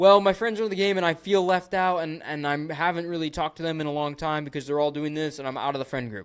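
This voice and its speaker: On a very clean recording with a silent background, a man speaks at a very fast pace. His fairly high voice has an animated tone and ordinary pitch variation. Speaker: business coach, social media marketer. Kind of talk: tutorial.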